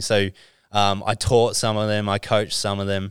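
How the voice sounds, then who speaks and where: A fairly low male voice in a monotone, flat delivery, with an Australian accent, in a very clean recording with a silent background. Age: 30s. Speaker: sports agent. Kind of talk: casual chat.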